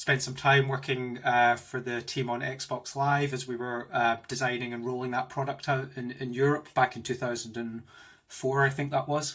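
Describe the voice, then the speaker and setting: The tone is enthusiastic, with a Scottish accent. The pace is moderate. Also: man, medium pitch for a man. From Scotland, Glasgow. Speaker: tech executive. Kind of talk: interview. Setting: home office, video call.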